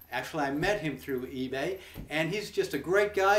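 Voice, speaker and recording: A man with a high pitch speaks at a moderate pace. There is audible room echo and light background noise. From United States. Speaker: YouTube personality. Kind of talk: promotional vlog. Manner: casual, halting. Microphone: webcam.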